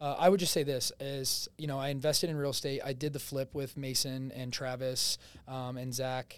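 A man with an American accent, medium pitch, monotone, flat intonation and a moderate pace. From New Jersey. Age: 20s. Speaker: real estate agent. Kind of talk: casual interview. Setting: studio. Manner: loud.

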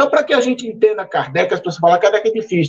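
High pitch from a man, swinging very widely up and down. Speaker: civil engineer. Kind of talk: panel discussion. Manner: direct, blunt.

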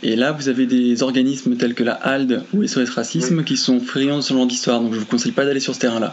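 This man speaks very fast with hardly any pauses, at a medium pitch, with fairly even intonation and very even loudness. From France. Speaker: friend making a phone call. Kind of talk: recorded phone call. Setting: phone call. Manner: halting.

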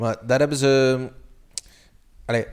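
On a very clean recording with a silent background, a man with an ordinary speaking voice talks at a medium pitch and a moderate pace. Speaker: podcast co-host. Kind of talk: casual chat.

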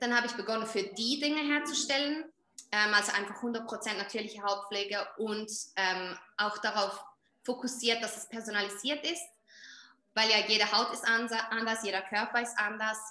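A woman with a Swiss German accent speaks at a moderate pace, her pitch fairly high and her intonation fairly even. Long pauses come often, and the room echoes audibly. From Switzerland. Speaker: skin coach and entrepreneur. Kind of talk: casual interview.

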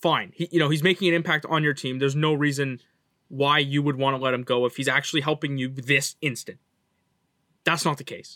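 A man with a Canadian accent, bright and sharp in tone, fairly high in pitch, at a fairly quick pace with fairly even intonation. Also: dry, close sound with no echo. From Canada. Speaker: hockey podcast co-host. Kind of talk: casual chat.

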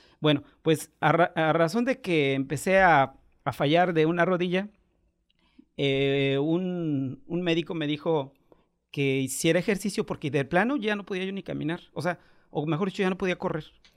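A man's high-pitched voice at a moderate pace with ordinary pitch variation, on a very clean recording with a silent background. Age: 50s. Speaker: amateur cyclist and human rights commission worker. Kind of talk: casual interview.

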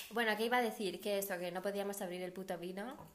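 Noticeable background noise and audible room echo surround a woman speaking in a medium pitch with ordinary pitch variation. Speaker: podcast host. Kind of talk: casual chat. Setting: at home.

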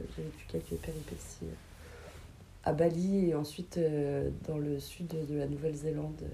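Pausing long and often, a woman talks at a fairly slow pace with audible room echo around her. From Paris region, Val d'Oise. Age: 30s. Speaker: interviewee, former hospitality worker, tax inspector. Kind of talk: casual interview.

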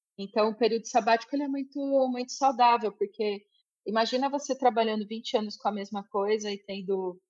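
A woman speaks in an ordinary speaking voice at a moderate pace with fairly even intonation. The background is quiet. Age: 40s. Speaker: IT engineer. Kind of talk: interview.

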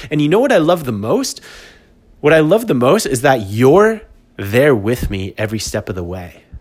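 With an animated tone and very wide pitch swings, a man speaks at a moderate pace. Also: medium pitch for a man. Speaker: podcast host and business coach. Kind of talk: solo podcast monologue. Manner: animated, laughs often.

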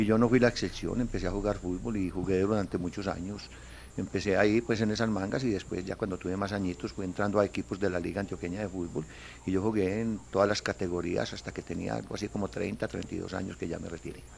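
A man's very deep, low voice with vocal fry, ordinary pitch variation and a very fast pace. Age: 60s. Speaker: football club president. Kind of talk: interview.

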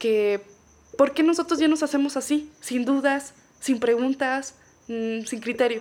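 Someone with a Mexican accent speaks at a fairly slow pace with ordinary pitch variation. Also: woman, high pitch for a woman. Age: 30s. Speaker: podcast guest. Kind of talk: casual chat.

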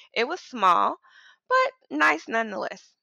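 A woman speaks in a bright, sharp tone. The recording is very clean with a silent background, dry and close with no echo. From US South, Mississippi. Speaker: podcast co-host. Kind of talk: casual chat.

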